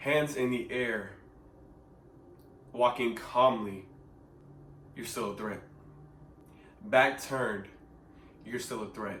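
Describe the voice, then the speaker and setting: A man's medium-pitched voice with an American accent, fairly even intonation, and audible room echo. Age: young. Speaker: vlogger. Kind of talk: personal testimony. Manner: earnest, emphatic.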